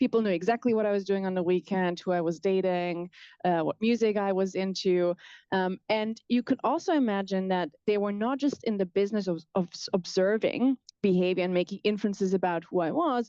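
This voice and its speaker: Against a quiet background, a woman with a German accent speaks at a fairly quick pace in a medium-pitched voice with a dark, mellow tone and ordinary pitch variation. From southwest Germany. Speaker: professor. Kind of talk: lecture. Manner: fast.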